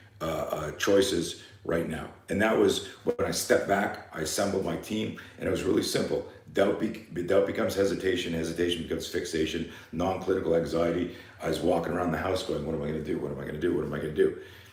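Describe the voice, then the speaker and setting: Very fast pace with audible room echo. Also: man. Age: 60s. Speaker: fear management coach and self-defense instructor. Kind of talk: live seminar talk.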